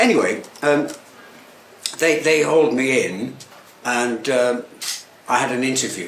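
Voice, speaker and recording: Against noticeable background noise and audible room echo, a man with an English accent speaks at a medium pitch and a fairly slow pace, with ordinary pitch variation and long, frequent pauses. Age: 70s. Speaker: tailor and menswear shop owner. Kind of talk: talk to live audience. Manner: halting; cheerful.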